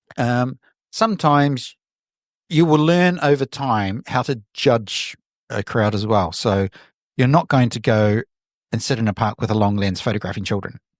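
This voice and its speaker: A man with a New Zealand accent speaks at a medium pitch and moderate pace, with lively intonation and long, frequent pauses. The sound is dry and close with no echo, on a very clean recording with a silent background. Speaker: photographer. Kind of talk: interview conversation. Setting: podcast.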